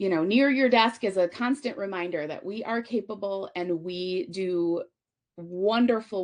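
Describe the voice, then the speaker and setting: With an unremarkable speaking voice, a woman talks at a moderate pace and medium pitch with lively intonation. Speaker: conference speaker, physical therapist. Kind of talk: conference presentation.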